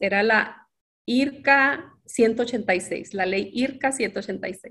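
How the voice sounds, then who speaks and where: The woman's pitch rises and falls in an ordinary way. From northern Mexico, Ciudad Juárez. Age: 50s. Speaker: interviewee sharing life story. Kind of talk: personal testimony.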